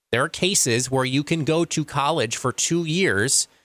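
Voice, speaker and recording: Someone with an American accent speaks at a moderate pace in a bright, sharp tone on a very clean recording with a silent background. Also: man. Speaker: local radio talk show host. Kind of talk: radio news and talk monologue. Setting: radio studio.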